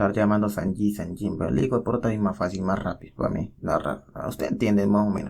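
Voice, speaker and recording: Fairly low-pitched and animated, a man talks at a very fast pace with hardly any pauses and ordinary pitch variation. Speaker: manhwa recap narrator. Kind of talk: casual story recap narration.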